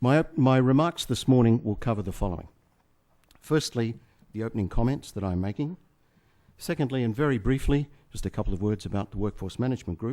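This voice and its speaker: In an Australian accent, a man with a medium pitch and a dark, mellow tone talks at a fairly quick pace with lively intonation and long, frequent pauses. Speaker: management consultant. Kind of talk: conference keynote speech.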